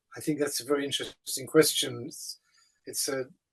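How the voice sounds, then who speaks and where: At a fairly quick pace, a man with an English accent speaks at a fairly high pitch with fairly even intonation. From England. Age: 70s. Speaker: writer and activist. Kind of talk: answering questions in a talk. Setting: video call.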